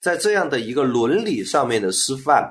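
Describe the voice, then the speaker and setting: Pitch swings very widely in this voice, heard over a quiet background. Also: man. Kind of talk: discussion. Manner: loud.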